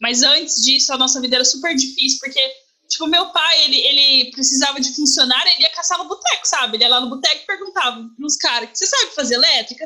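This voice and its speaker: A woman speaks very fast in a raised, projected, high voice with ordinary pitch variation. Noticeable background noise is present. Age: 30s. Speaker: journalist. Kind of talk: casual chat. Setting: video call.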